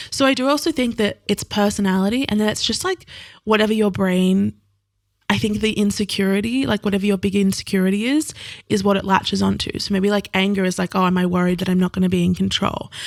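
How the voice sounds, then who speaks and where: In an Australian accent, a woman at a medium pitch talks at a very fast pace with very even loudness and ordinary pitch variation, on a very clean recording with a silent background. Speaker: podcast host and author, guest. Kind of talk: casual chat.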